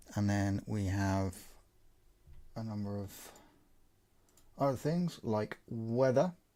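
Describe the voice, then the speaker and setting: A man speaks in a dark, mellow tone with a fairly low pitch and ordinary pitch variation. His pace is very slow, with long, frequent pauses. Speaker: sim racing commentator. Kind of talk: live commentary. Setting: home bedroom. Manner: casual, chatty.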